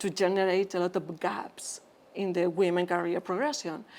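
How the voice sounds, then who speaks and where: A woman with a medium-pitched voice talks fairly slowly, keeping her intonation fairly even. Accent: Spanish. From Spain. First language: Spanish. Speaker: physician, interventional endoscopist. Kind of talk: interview conversation.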